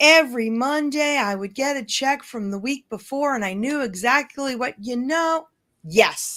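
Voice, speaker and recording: On a very clean recording with a silent background, a woman with a New York accent speaks fairly slowly in a high, bright, sharp voice with ordinary pitch variation. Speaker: hypnotherapist and change coach. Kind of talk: interview.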